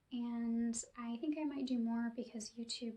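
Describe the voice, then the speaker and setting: The speaker is soft-spoken, with a calm tone. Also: woman. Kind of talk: guided relaxation ASMR. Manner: soft-spoken, calm.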